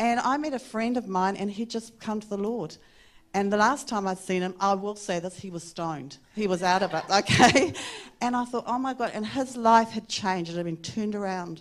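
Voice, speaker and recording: In a New Zealand accent, the speaker talks at a fairly quick pace. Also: woman, ordinary pitch variation. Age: 60s. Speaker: interviewee sharing faith story. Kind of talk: onstage interview in a church service. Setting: church stage with microphone. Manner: warm, laughs often. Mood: warm, animated storytelling. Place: church. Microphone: handheld.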